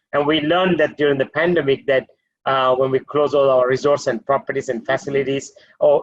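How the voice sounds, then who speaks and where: Speaking at a fairly quick pace, a man with a Maldivian accent has a fairly high pitch and ordinary pitch variation. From Maldives. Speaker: hotel group executive. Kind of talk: webinar panel discussion.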